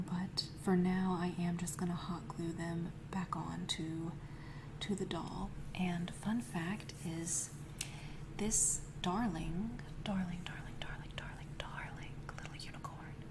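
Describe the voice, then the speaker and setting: Over noticeable background noise, a woman speaks very slowly in a fairly low pitch with fairly even intonation. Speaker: ASMR creator. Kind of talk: ASMR narration. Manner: soft-spoken.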